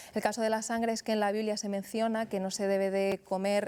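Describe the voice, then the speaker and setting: A woman's voice is pitched at a medium level. She talks with monotone, flat intonation. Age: 30s. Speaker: author and former Jehovah's Witness. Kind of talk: interview.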